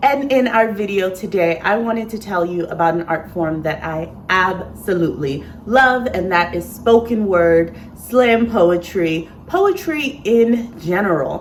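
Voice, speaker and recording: A woman of medium pitch talks at a fairly slow pace, with lively intonation and hardly any pauses. Noticeable background noise is present. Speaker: sewist and poet. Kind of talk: casual talk to camera.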